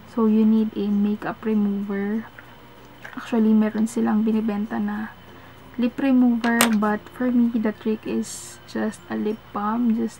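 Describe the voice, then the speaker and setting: Over music in the background, a soft-spoken woman talks very slowly at a fairly high pitch, her intonation monotone and flat. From Philippines. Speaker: beauty vlogger. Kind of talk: product review. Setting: at home at night.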